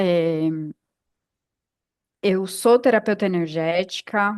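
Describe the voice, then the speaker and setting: The pace is very slow. The background is quiet. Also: woman. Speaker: yoga teacher and podcast co-host. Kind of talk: casual podcast chat. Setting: podcast recording.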